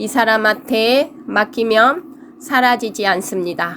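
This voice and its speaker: Over noticeable background noise, a woman with a high pitch speaks at a very slow pace, using ordinary pitch variation. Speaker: fortune teller. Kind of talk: lecture. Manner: halting.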